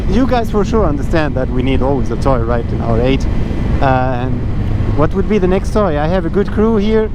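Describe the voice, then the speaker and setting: A man at a moderate pace and very even loudness, with noticeable background noise and audible room echo. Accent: non-native. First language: not English. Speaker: motorcycle vlogger. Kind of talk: casual ride vlog. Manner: halting, with fillers.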